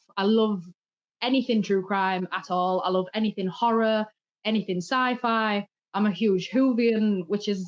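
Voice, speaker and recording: A woman with a fairly high pitch speaks at a moderate pace, with ordinary pitch variation. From England. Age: 30s. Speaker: true crime content creator. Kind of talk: casual chat.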